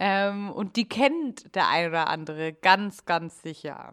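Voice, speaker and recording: In a very clean recording with a silent background, a woman speaks in a plain, everyday voice at a medium pitch with ordinary pitch variation. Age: 20s. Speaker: podcast host. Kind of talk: casual chat.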